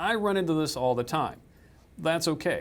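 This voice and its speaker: With a Southern US accent, a man speaks with lively intonation. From US South. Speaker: software trainer. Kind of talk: tutorial.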